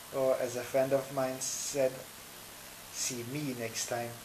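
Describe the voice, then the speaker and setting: Against noticeable background noise, a man with a non-native accent speaks in a monotone, flat intonation. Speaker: vlogger. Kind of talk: casual vlog talk to camera. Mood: friendly, upbeat. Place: home room. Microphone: webcam.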